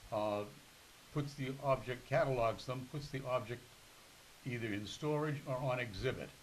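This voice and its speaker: With a New England accent, the speaker keeps a moderate pace and fairly even intonation, sounds somewhat breathy, and leaves long, frequent pauses. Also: man, medium pitch for a man. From Massachusetts, Newton. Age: 80s+. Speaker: retired museum curator. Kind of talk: interview.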